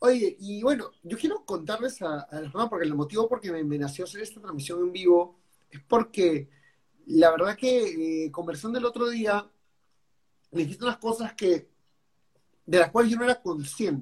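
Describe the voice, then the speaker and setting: At a moderate pace, a man with a high pitch speaks with lively intonation and big swings in loudness. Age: 30s. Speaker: podcast host and business consultant. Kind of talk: casual livestream interview. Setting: live stream. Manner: halting.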